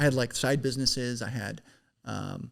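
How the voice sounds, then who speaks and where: A man speaks with noticeable vocal fry. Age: 20s. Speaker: business founder. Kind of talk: casual chat.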